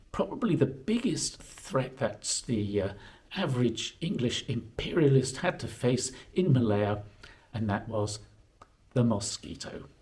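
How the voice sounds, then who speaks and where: A man with a medium pitch talks at a fairly slow pace, and his voice is somewhat breathy. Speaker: history vlogger. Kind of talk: casual vlog talk to camera. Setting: indoors. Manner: halting, many fillers.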